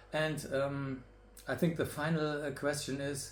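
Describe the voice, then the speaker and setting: A somewhat breathy man with a fairly high pitch. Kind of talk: casual interview talk to camera.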